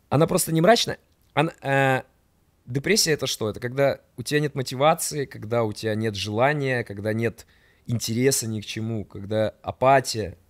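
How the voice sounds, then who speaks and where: Against a quiet background, a man speaks in an animated tone at a moderate pace with ordinary pitch variation. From Rubtsovsk, Altai Krai, Russia; Altai Krai, Russia. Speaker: podcast guest, storyteller. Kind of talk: casual storytelling chat. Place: studio. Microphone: studio mic.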